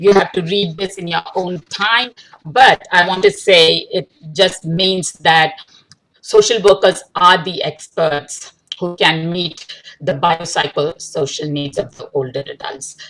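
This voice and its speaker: A woman speaks at a very slow pace in a fairly low pitch. Her loudness swings widely while her pitch varies an ordinary amount. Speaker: researcher and social work lecturer. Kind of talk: lecture. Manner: halting.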